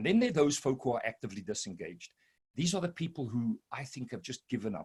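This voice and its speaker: In a dry, close sound with no echo, a man speaks in a somewhat breathy voice with lively intonation. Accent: South African. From South Africa. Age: 60s. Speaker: business consultant. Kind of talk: presentation.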